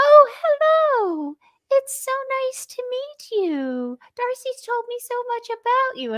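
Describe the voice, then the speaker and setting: Squeaky and extremely high-pitched, this female-sounding put-on character voice moves at a fairly slow pace. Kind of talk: proper, polite, formal. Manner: proper, appropriate, sweetly polite.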